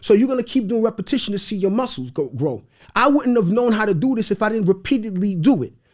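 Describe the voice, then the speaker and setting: The speaker talks very fast in an animated tone with lively intonation and a Haitian accent. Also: man. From New York, of Haitian parents. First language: Haitian Creole. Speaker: real estate investor. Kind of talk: podcast interview.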